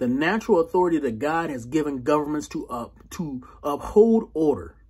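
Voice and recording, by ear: With lively intonation and a fairly slow pace, a man speaks in a slightly mellow tone with a husky, rough edge.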